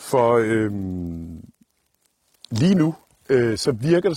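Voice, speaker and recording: With a dark, mellow tone at medium pitch, a man speaks in a somewhat breathy voice with lively intonation. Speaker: outdoor YouTuber, scout. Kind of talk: vlog monologue. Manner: hesitant, many filler sounds.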